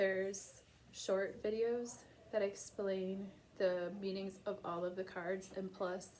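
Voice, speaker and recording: A woman mumbles at a medium pitch in a dark, mellow tone. Her intonation is monotone and flat. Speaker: tarot reader. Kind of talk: tarot reading monologue. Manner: mumbling; casual, hesitant.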